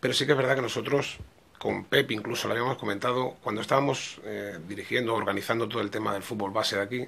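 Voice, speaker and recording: Speaking very fast, a man keeps his intonation fairly even. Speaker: football coach. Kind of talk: interview answer. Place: office. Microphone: podium.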